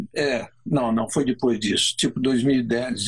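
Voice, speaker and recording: The voice belongs to a man at a medium pitch. It is somewhat breathy. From Brazil. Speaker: motorsport co-host. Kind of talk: casual chat.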